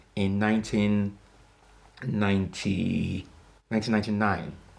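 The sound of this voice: This man's voice sits fairly low, with a British accent. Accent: British-sounding English.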